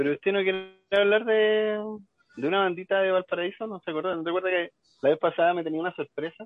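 A man's high-pitched voice at a very fast pace, with fairly even intonation. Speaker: cumbia music expert, radio co-host. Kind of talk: casual radio chat.

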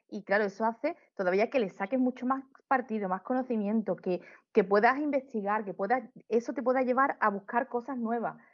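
A woman with an Andalusian accent speaks in a fairly high pitch with ordinary pitch variation. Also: fairly quick pace. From Seville, Andalusia, Spain. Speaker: amateur astrophotographer. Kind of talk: casual interview conversation.

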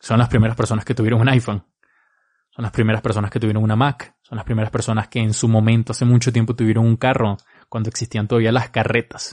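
A man's medium-pitched, monotone, flat delivery at a very fast pace, with a dry, close sound, no echo, and a quiet background. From Venezuela. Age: 20s. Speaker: marketing podcaster. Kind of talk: solo podcast advice talk.

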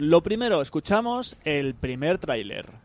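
A man talks at a moderate speed. His voice is fairly high-pitched. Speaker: video game podcast host. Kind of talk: casual chat. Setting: remote call from home.

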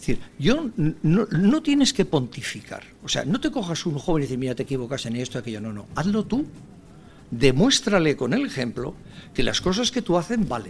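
The voice has vocal fry. Its pitch swings very widely. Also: man, fairly high pitch for a man, moderate pace. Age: 60s. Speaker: senior professionals association president. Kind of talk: radio interview.

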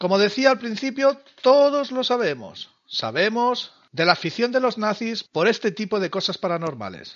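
Moderate pace, lively intonation and hardly any pauses. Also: man, high pitch for a man. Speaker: podcast host. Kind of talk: scripted narration; casual chat.

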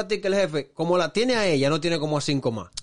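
A man with a Dominican accent speaks with ordinary pitch variation. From Dominican Republic (Santo Domingo). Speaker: podcast co-host. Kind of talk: casual chat.

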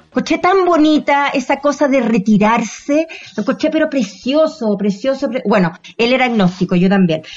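A woman speaks at a high pitch with very wide swings up and down. Her pace is moderate. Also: very even loudness. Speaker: podcast host and actress. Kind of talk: casual chat.

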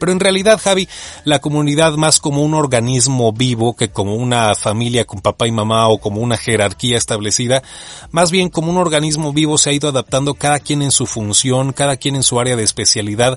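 Recorded dry and close with no echo, a man talks at a fairly quick pace with lively intonation over noticeable background noise. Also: medium pitch for a man. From Mexico. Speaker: voice-over artist and audiobook narrator. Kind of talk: casual interview chat.

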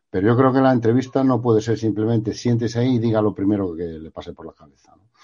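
A man talks at a very fast pace with hardly any pauses, at a medium pitch with ordinary pitch variation. His tone is dark and mellow, and his loudness swings widely. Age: 50s. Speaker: journalist and professor. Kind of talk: interview.

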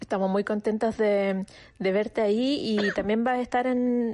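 A woman speaks at a fairly slow pace with a Chilean accent against a quiet background. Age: 40s. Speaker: radio show guest. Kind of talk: casual chat.

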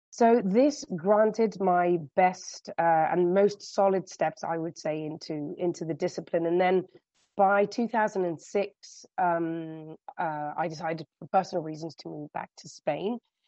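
At a very slow pace, a woman with a British accent speaks in a fairly low pitch, with ordinary pitch variation and big swings in loudness. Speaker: hotel revenue management director. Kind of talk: interview.

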